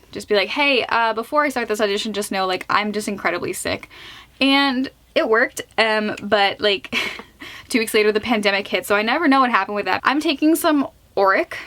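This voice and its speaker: A woman's fairly high voice, fairly quick and lively in intonation, over noticeable background noise. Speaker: beauty vlogger. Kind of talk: tutorial; casual chat. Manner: chatty.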